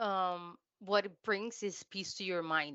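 Here a woman talks at a very slow pace. Her pitch is medium and her intonation fairly even. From Latin America. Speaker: remote work advocate. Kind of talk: interview.

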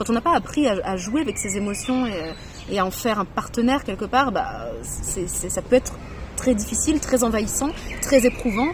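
There is noticeable background noise behind a woman's voice. She keeps a moderate pace with ordinary pitch variation. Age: 30s. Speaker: author. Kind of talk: interview testimony. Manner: halting.

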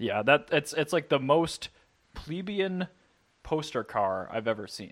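With vocal fry and very wide pitch swings, the speaker talks at a fairly slow pace. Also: man, fairly high pitch for a man, very clean recording, silent background. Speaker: podcast host. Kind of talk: casual banter.

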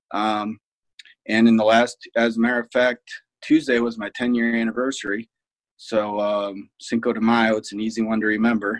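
In a Midwestern American accent, a man talks at a medium pitch with monotone, flat intonation. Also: moderate pace. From Ohio, Fremont. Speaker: security business owner, ex-Marine officer. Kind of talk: interview conversation.

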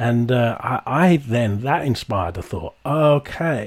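There's some breathiness in this man's mid-range voice. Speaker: podcast host. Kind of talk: interview conversation.

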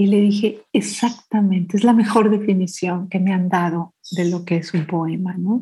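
A woman's somewhat breathy, dark, mellow voice at medium pitch, fairly slow and with fairly even intonation. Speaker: poet and children's author. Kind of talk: interview. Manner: sweet yet powerful reading voice.

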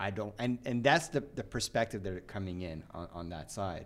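A man with an unremarkable speaking voice, at a moderate pace, with lively intonation. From Canada. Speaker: podcast host. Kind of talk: live panel discussion. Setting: live at a conference.

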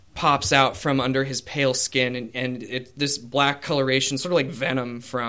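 A reading voice, unforced

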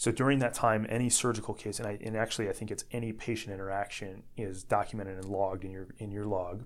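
An American-accented man at a very fast pace with hardly any pauses, his fairly low voice monotone and flat, in a very clean recording with a silent background. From US Midwest, Northwest Indiana. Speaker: orthopedic surgeon. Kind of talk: interview.

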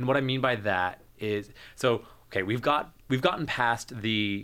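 A man with an American accent speaks at a fairly low pitch with ordinary pitch variation and a bright, sharp tone, on a very clean recording with a silent background. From New Jersey. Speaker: public health graduate student. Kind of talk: casual chat. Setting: studio.

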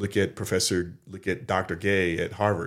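Flat, monotone intonation comes through in an American accent on a very clean recording with a silent background. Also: man. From US South, North Carolina. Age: 50s. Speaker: community college program coordinator and instructor. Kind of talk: casual interview. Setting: studio.

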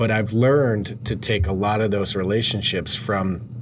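A man with a fairly low pitch speaks in fairly even intonation, with noticeable background noise and audible room echo. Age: 40s. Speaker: podcast host, mortgage branch manager. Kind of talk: casual interview chat.

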